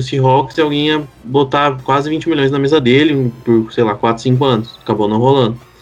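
Music plays in the background as a man talks. His pace is fairly quick and his intonation fairly even. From Curitiba, Paraná, southern Brazil. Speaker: American football podcast co-host. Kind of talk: casual chat.

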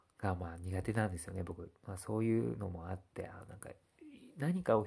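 A very deep, low-pitched man's voice, somewhat breathy and dark and mellow in tone. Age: 30s. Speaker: blogger. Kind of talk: casual monologue. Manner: halting, many fillers.

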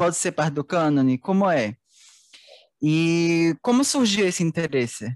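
In a dry, close recording with no echo and a quiet background, a man speaks fairly slowly at a high pitch, with lively intonation, very even loudness and long, frequent pauses. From northern Portugal. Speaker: student podcast host. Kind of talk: interview.

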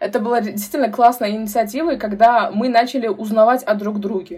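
Somewhat breathy and fairly high-pitched, a woman speaks at a fairly quick pace with ordinary pitch variation. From Uzbekistan, Tashkent. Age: 20s. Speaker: youth activist and brand ambassador. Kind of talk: casual interview.

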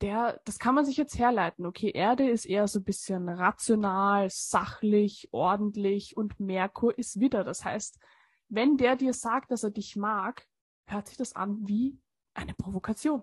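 Against a quiet background, a somewhat breathy voice speaks at a fairly slow pace, with ordinary pitch variation, big swings in loudness and a dry, close sound with no echo. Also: woman, fairly high pitch for a woman. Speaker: astrology podcast co-host. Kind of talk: casual chat.

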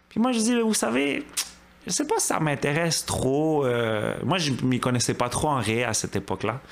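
Pitched fairly high, a man talks at a moderate pace with very wide pitch swings and very even loudness. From Quebec, Montreal (Côte-des-Neiges). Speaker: churchgoer giving testimony. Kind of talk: testimony.

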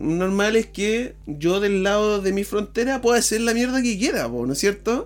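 Speaking with a Chilean accent, a man uses a high pitch. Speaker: podcast co-host. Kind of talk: casual chat.

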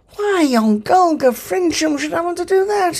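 Using a put-on character voice, a man speaks at an extremely high pitch. He is soft-spoken and keeps a moderate pace. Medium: read story. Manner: cheery, vague, soft-spoken.

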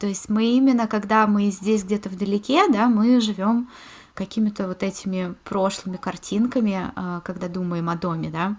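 A woman speaks in a medium pitch, somewhat breathy. Her intonation stays fairly even. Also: moderate pace. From Moscow, Russia. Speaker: podcast host. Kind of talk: casual chat.

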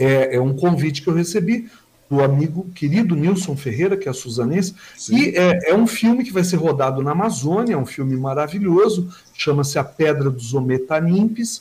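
With a plain, everyday voice, a man speaks at a fairly high pitch and moderate pace, his intonation lively. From Brazil, São Paulo state (Mogi das Cruzes). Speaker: journalist and social columnist. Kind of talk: casual interview.

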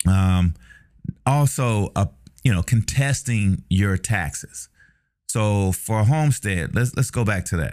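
A man with an American accent, fairly low pitch and lively intonation, very slow pace, in a very clean recording with a silent background. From Chicago, US Midwest. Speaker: podcast host and real estate agent. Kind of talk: casual monologue. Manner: casual, filler-heavy.

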